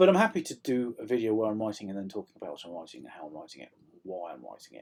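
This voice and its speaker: A man races along at a very fast pace, his intonation lively and his loudness swinging widely. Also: fairly low pitch for a man. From South Yorkshire. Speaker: author. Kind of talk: casual vlog update. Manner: hesitant, many ums.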